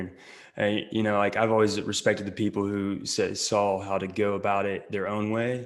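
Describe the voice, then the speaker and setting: With an Oklahoma accent, a man talks at a fairly quick pace. His fairly low voice stays monotone and flat. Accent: Oklahoma rural Southern US. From western Oklahoma. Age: 20s. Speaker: actor and social media creator. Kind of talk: podcast interview.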